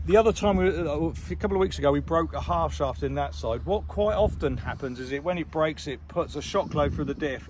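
Speaking at a fairly quick pace with hardly any pauses, a man talks in a West Country accent. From South West England, Somerset. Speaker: monster truck driver and vlogger. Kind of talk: casual vlog narration. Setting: outdoors at a truck show.

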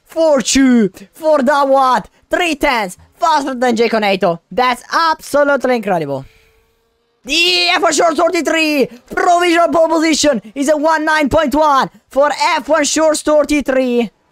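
The words come at a very slow pace. Music sounds in the background. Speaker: race commentator. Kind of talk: live race commentary. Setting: video game stream voiceover. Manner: repeats phrases, builds hype.

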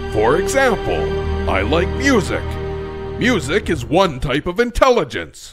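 This man uses a put-on character voice at a fairly slow pace. Clear music plays in the background.

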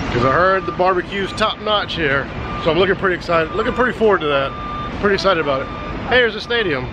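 The sound is dry with no echo as a man rushes along at a very fast pace amid noticeable background noise. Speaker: family vlogger dad. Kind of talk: casual vlog chat. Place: street. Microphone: phone near.

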